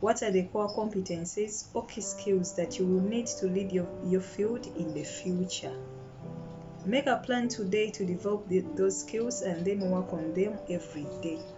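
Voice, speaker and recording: Music plays in the background. A woman speaks at a medium pitch. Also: ordinary pitch variation, moderate pace. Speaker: storyteller. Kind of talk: self-help audiobook reading.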